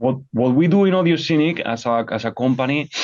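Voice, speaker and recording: The background is quiet. A man speaks with lively intonation. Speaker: audio technology company co-founder and CTO. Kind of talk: technical presentation over slides. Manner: fast; halting with many repetitions.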